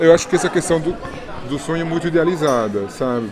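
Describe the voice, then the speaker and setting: Over crowd noise and audible room echo, a man speaks at a fairly high pitch with lively intonation. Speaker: YouTuber, actor. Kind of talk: interview.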